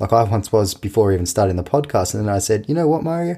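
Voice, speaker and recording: Very fast and somewhat breathy, a man at medium pitch speaks with a dark, mellow tone and lively intonation on a very clean recording with a silent background. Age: 20s. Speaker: tennis coach and podcast host. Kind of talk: casual podcast monologue.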